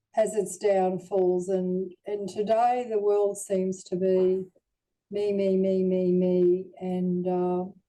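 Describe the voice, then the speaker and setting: A woman with an Australian accent, a dark, mellow tone at medium pitch, monotone, flat intonation and a very slow pace. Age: 70s. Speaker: near-death experiencer. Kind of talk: testimony.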